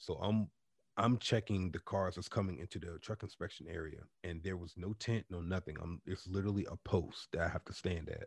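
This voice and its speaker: This man has a very deep, low voice that is somewhat breathy, delivered at a fairly quick pace. The recording is very clean with a silent background and a dry, close sound with no echo. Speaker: podcast host. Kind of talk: casual chat. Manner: animated.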